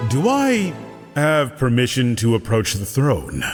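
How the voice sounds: In a cartoonish character voice, a man talks at a fairly slow pace with lively intonation and a medium pitch, with clear music in the background.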